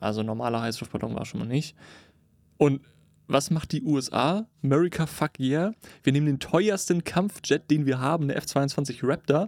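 A man with a normal speaking voice and ordinary pitch variation is captured in a very clean recording over a silent background. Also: fairly high pitch for a man, moderate pace. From northern Germany (Cuxhaven). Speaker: podcast co-host. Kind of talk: casual chat. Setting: studio booth.

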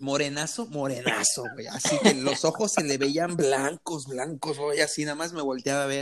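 Speaking with a Mexican accent, a man uses a fairly high pitch with ordinary pitch variation. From Mexico. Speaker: podcast host. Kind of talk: casual chat. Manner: animated.

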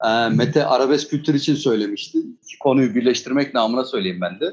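There is vocal fry in this man's voice. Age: 30s. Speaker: guest, music enthusiast. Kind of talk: casual discussion.

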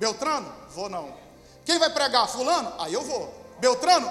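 A man with ordinary pitch variation, audible room echo and noticeable background noise. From Brazil, countryside. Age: 30s. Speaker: pastor. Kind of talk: sermon.

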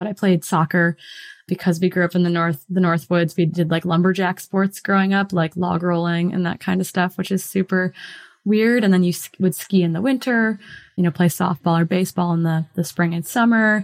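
An ordinary speaking voice with an American accent talks at a fairly quick pace with fairly even intonation, in a very clean recording with a silent background and a dry, close sound with no echo. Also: woman, fairly low pitch for a woman. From Wisconsin, US Midwest. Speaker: professional trail runner and coach. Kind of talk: interview conversation.

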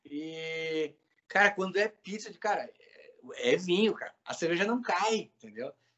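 This man's voice is high in pitch, with ordinary variation and a fairly slow pace. His loudness rises and falls sharply. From southern Brazil, Pelotas. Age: 40s. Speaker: instrumental musician. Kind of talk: casual chat.

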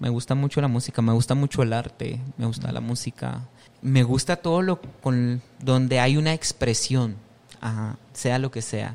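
With an ordinary speaking voice, a man talks at a moderate pace, his pitch medium and his intonation fairly even. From Guatemala, western highlands (Quiché, San Pedro Jocopilas). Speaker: chef and restaurant owner. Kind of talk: casual interview chat. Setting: on location at his restaurant.

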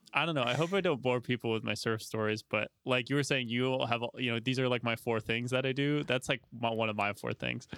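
In an ordinary speaking voice, a man talks at a fairly quick pace and medium pitch with hardly any pauses, very even loudness and fairly even intonation, in a dry, close sound with no echo. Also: very clean recording, silent background. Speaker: podcast host.

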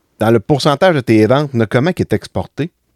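Lively intonation marks this man's speech, recorded very cleanly with a silent background and a dry, close sound with no echo. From Quebec, La Visitation near Saint-Hyacinthe. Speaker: podcast host and farmer. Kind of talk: casual interview.

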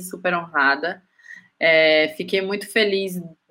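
Bright and sharp in tone, a woman speaks at a medium pitch with a Bahian accent and ordinary pitch variation. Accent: Bahian Northeastern Brazilian Portuguese. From Bahia, Juazeiro (Brazilian Northeast). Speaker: graphic designer. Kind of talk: casual chat.

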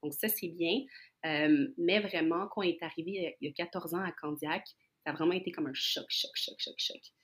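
A woman speaks at a fairly slow pace in a normal speaking voice, her pitch fairly low. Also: ordinary pitch variation. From Montreal, Quebec. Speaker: guest. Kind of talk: casual chat.

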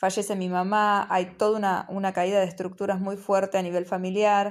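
Speaking at a fairly quick pace, a woman of medium pitch keeps a monotone, flat intonation. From Argentina, Buenos Aires province. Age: 30s. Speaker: spiritual podcaster. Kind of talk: reflective monologue. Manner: halting, with many fillers.

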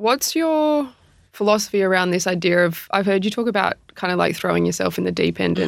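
A woman is speaking. Her pace is fairly quick. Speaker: podcast host and AFLW player. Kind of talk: casual interview chat. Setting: in person, studio.

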